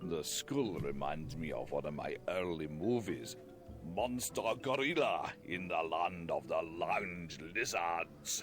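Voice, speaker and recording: A man does a put-on character voice with a very deep, low pitch. He talks at a fairly slow pace over clear background noise. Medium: video game.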